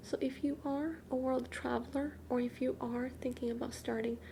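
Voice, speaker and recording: Soft-spoken speech at a moderate pace against noticeable background noise. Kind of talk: soft-spoken ASMR tarot card reading.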